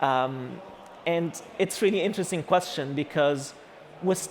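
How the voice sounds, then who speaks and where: Speaking with an Egyptian accent, a man has a fairly high pitch. He talks at a fairly slow pace. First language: Arabic. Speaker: architect and AI artist giving a talk. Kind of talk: conference talk. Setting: stage with audience. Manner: halting, many fillers.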